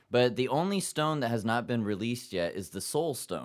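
A man's ordinary speaking voice, medium in pitch, with lively intonation, in a very clean recording over a silent background. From Japan (Yokohama), half Japanese half German-American. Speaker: actor and comedy stage show host. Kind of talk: casual chat.

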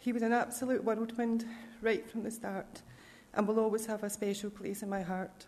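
In a Scottish accent, a woman speaks at a moderate pace with a fairly high, somewhat breathy voice and monotone, flat intonation. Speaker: bereaved family member. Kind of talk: scripture reading, then an emotional family eulogy. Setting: church. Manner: tender and personal.

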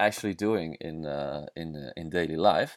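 On a very clean recording with a silent background, a man speaks with a Dutch accent. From southern Netherlands. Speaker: podcaster, traveler, former kitesurfing instructor. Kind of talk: solo monologue podcast. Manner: halting, many fillers.

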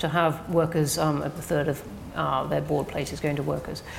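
Very deep, low pitch from a woman, at a moderate speed. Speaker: think tank director, interviewer. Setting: stage with audience.

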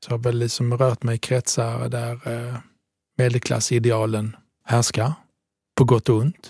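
In a very clean recording with a silent background and a dry, close sound with no echo, a man with a medium pitch speaks at a fairly slow pace, somewhat breathy and in a monotone, flat intonation, with long, frequent pauses. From southern Italy. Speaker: podcast host. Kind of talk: casual conversation. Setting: studio.

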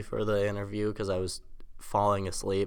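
A man speaks with a fairly low pitch and a bright, sharp tone. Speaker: college student, former podcast host. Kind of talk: casual chat. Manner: monotone.

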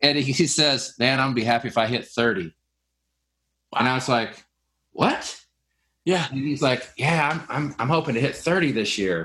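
Long, frequent pauses break up a man's moderate pace, his medium pitch showing ordinary variation. His tone is bright and sharp, on a very clean recording with a silent background. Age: 40s. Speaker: podcast host, window cleaning business owner. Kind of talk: casual interview chat.

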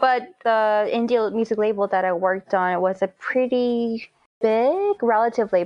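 With a Korean accent, a woman keeps her loudness very even. Her pitch varies in an ordinary way. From South Korea. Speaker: composer and singer-songwriter. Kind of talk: interview.

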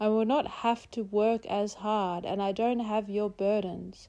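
A woman with an Australian accent speaks at a fairly slow pace and a medium pitch, her tone dark and mellow, her intonation fairly even, against a quiet background. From South East Queensland, Australia. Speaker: poet. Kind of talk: poetry reading.

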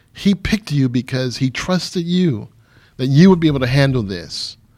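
Delivered in an American accent at a fairly quick pace, this is an ordinary speaking voice with ordinary pitch variation on a very clean recording with a silent background. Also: man. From Michigan. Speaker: pastor and counselor. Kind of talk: interview.

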